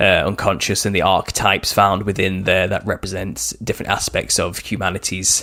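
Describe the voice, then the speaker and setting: Speaking at a moderate pace, a man with a northern English accent has a very deep, low pitch. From northwest England. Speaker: author. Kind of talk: interview. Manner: halting.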